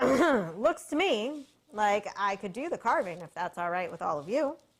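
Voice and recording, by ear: Putting on a gravelly character voice, a woman speaks at a moderate pace from a medium pitch, with very wide pitch swings.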